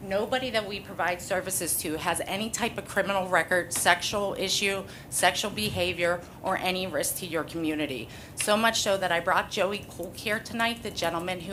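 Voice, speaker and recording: A woman at a fairly quick pace and medium pitch, with ordinary pitch variation and audible room echo. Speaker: nonprofit CEO. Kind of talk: public comment at council meeting. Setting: council meeting hall. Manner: loud.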